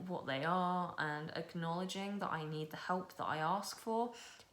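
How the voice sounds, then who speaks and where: A woman talks at a moderate pace with fairly even intonation. Room echo is audible. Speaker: booktuber. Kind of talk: personal testimony vlog. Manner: casual, filler-heavy speech.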